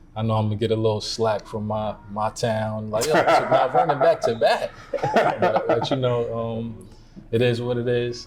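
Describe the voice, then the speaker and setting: A man with an American accent speaks at a medium pitch over noticeable background noise. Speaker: podcast host. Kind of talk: casual chat. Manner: stuttering.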